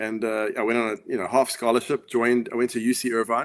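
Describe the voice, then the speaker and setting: Someone speaks at a very fast pace with a South African accent. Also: man. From South Africa, Johannesburg. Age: 50s. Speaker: author and former pro tennis player. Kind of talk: interview. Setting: live video call.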